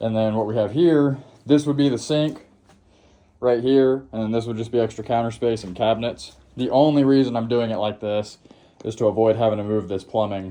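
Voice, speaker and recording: Talking at a fairly quick pace, a man has a medium pitch and fairly even intonation. His tone is dark and mellow. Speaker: DIY home renovator. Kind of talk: casual walkthrough vlog. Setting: dusty room under renovation. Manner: halting. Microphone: handheld phone.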